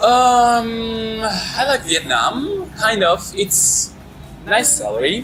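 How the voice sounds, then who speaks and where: A man at a very slow pace, with noticeable background noise and audible room echo. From Russia, Urals (Asbest near Yekaterinburg). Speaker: English teacher and actor. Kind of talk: casual interview. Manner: halting.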